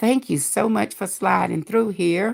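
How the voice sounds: A woman's put-on character voice, raspy and hoarse, at a medium pitch and moderate pace, on a very clean recording with a silent background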